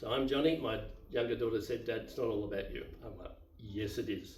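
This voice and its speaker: With an Australian accent, a man speaks at a moderate pace in a room with audible echo. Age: 70s. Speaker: YouTuber, divorced retiree. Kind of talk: casual monologue, personal story. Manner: unscripted, halting with fillers.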